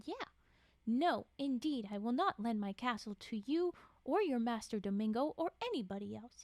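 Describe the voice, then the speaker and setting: A woman puts on a booming character voice with a fairly high pitch. She keeps a moderate pace. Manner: shouted, insulted and defiant.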